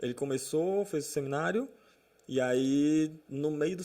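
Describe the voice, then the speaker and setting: This man has a dark, mellow tone. His pitch variation is ordinary. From Brazil, moved around (Amazonas, São Paulo, Minas, Goiás, Natal). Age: 30s. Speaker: pastor. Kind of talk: casual chat.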